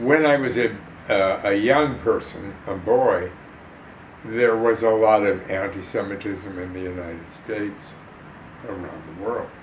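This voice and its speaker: With noticeable background noise and audible room echo, a man in a Chicago accent speaks fairly slowly at a fairly low pitch, his loudness swinging widely. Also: ordinary pitch variation. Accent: Chicago American. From Chicago, US Midwest. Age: 90s. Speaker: actor and war veteran. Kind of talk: interview testimony. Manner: halting.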